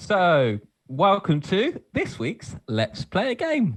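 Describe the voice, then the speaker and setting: Recorded dry and close with no echo, a man talks at a fairly slow pace. His pitch swings very widely. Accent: Portsmouth. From southern England, Portsmouth. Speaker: podcast co-host, game presenter. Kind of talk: casual chat, quiz game hosting. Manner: animated.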